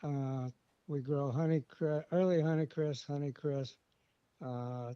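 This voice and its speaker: A very slow, dark, mellow voice with a Midwestern American accent and fairly even intonation, dry and close with no echo. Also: man. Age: 80s+. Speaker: farmer. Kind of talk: casual interview. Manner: hesitant, many uh fillers.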